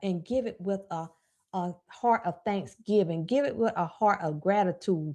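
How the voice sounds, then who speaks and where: A woman with a Southern US accent, a dark, mellow tone and medium pitch, fairly slow pace and lively intonation, against a quiet background. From US South. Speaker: personal finance coach. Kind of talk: live stream talk. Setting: live stream.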